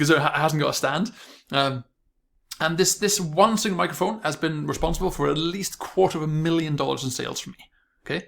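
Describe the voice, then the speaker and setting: Fairly high-pitched male voice at a very fast pace. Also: ordinary pitch variation. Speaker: online marketing coach. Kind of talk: video tutorial monologue. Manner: mumbling, stuttering.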